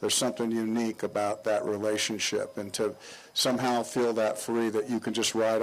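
A man's fairly low voice at a fairly quick pace with monotone, flat intonation. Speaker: guest. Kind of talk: interview answer. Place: street. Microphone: handheld.

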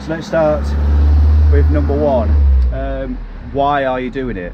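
Amid noticeable background noise, a man speaks at a moderate pace with very wide pitch swings. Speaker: cycling vlogger. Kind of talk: tutorial. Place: street. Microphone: phone near.

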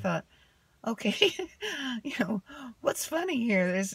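A woman talks at a fairly slow pace with a fairly high pitch and a husky, rough edge. Her pitch swings widely.

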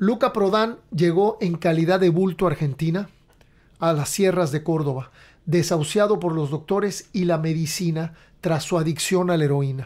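A man's high-pitched voice comes at a moderate pace over a quiet background. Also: ordinary pitch variation. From Mexico. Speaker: podcast host and rock musician; podcast host. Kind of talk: casual chat; reading aloud. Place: home room. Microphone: studio mic.

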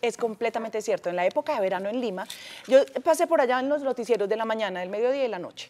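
Speaking very fast, a woman uses lively intonation in a dark, mellow tone. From Peru, raised partly in Colombia. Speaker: TV presenter. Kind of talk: TV interview; interview answer. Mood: cheerful, reminiscing. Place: studio. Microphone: lapel.

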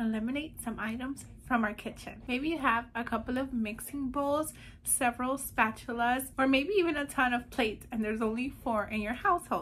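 Here a woman talks at a moderate pace. Her pitch is high, with ordinary variation. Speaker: declutter challenge host. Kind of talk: casual vlog chat. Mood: cheerful, smiling. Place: home room. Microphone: phone near.

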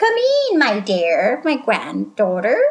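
A woman uses a put-on character voice. Her pitch is fairly high. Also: fairly slow pace.

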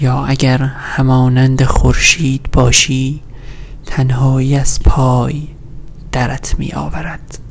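A soft-spoken man talks at a very slow pace and a medium pitch. His intonation is monotone and flat, with light background noise behind him. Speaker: ASMR creator. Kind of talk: sleep story reading of poetic prose. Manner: soft-spoken, slow. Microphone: studio mic.

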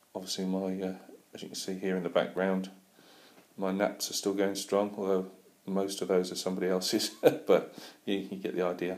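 A man's very deep, low voice at a fairly quick pace, monotone and flat in intonation. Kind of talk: casual vlog chat. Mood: relaxed, friendly. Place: home room. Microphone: phone near.

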